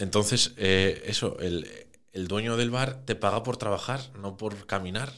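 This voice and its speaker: At a fairly slow pace, a man talks in an ordinary speaking voice of medium pitch with ordinary pitch variation. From Asturias, Oviedo. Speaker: third-generation drinks distributor. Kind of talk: casual chat.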